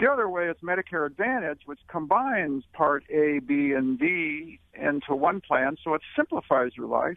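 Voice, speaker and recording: This man has a plain, everyday voice, pitched fairly high. He speaks at a fairly slow pace with lively intonation. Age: 60s. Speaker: retirement author and company president. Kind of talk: radio interview. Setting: radio studio.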